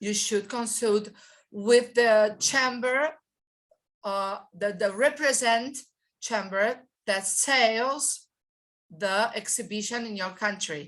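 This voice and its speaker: A woman with a non-native accent speaks at a very slow pace, with long, frequent pauses. Her pitch variation is ordinary, and the background is quiet. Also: fairly high pitch for a woman. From Brazil. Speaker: trade exhibition expert. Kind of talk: guest expert talk. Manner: halting, many fillers and repetitions.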